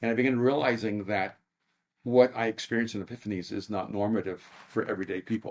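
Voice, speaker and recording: Fairly even in intonation, the man rattles through his words at a very fast pace. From El Salvador. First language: Spanish. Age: 60s. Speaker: author and speaker. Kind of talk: podcast interview. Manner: many hesitations and repeated words.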